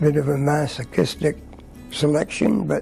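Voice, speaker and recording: A man's voice over music in the background. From Quebec, Montreal area. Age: 70s. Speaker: retiree. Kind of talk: interview talk. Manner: halting.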